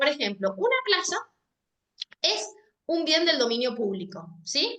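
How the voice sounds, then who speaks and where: A woman's raised, projected voice at a high pitch, bright and sharp in tone, at a fairly slow pace, with very wide pitch swings and very even loudness. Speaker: legal department staff giving training. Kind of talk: training lecture. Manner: hesitant, repeats words.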